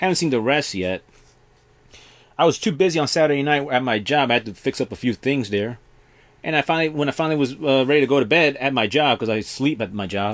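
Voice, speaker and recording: Talking at a very fast pace with lively intonation, a man with a fairly high pitch is heard on a very clean recording with a silent background. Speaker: vlogger. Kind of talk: casual monologue vlog. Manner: loud.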